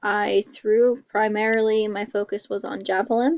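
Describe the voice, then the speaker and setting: A woman with a fairly high pitch and a normal speaking voice, at a fairly slow pace. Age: 20s. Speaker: college student. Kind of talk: class self-introduction presentation.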